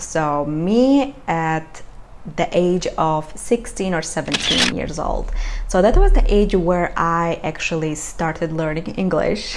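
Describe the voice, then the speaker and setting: A woman's fairly low voice at a very slow pace, with ordinary pitch variation and noticeable background noise. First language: not English. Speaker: vlogger. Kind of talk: casual chat. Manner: halting.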